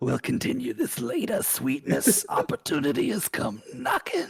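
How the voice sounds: This is a put-on character voice at middle pitch and a moderate pace. Hissing is audible.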